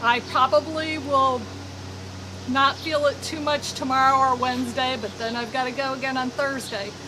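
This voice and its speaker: A woman's raised, projected, high-pitched voice with fairly even intonation, over noticeable background noise. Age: 60s. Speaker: knitting podcaster. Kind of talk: casual monologue. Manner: conversational, with fillers.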